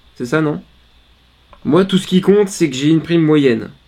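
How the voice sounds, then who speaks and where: Noticeable background noise sits under this clip. A man talks at a fairly slow pace. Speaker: poker streamer. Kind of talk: live poker commentary.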